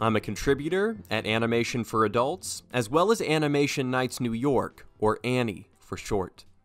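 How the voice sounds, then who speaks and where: A man's medium-pitched voice at a moderate pace, lively in intonation, with hardly any pauses and music in the background. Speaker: interviewer. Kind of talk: podcast intro.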